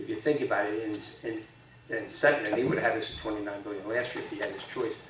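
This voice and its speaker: Noticeable background noise and audible room echo around a man with an American accent. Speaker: state legislator and candidate. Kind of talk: candidate forum answers. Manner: fast.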